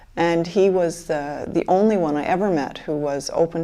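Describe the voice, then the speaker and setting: A woman's normal speaking voice with an American accent, fairly low in pitch, with ordinary pitch variation. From Michigan, US (Grand Rapids). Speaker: interviewee, fluoride-affected person. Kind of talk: documentary interview, personal testimony.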